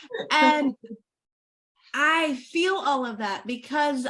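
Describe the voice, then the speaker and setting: A woman's raised, projected voice with an American accent, high-pitched, bright and sharp, very slow, with ordinary pitch variation. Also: long, frequent pauses. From Oklahoma. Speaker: podcast host. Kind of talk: interview conversation.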